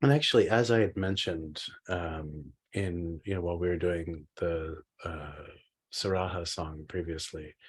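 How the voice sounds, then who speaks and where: Somewhat breathy, a man speaks at a moderate pace with a very deep, low pitch and ordinary pitch variation. The recording is very clean, the background silent. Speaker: Buddhist meditation teacher. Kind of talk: dharma teaching class. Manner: halting with many fillers.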